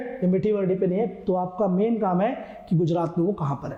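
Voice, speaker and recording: The voice belongs to a man. His words carry audible room echo. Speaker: coaching teacher. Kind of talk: exam prep lecture. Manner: casual, conversational teaching.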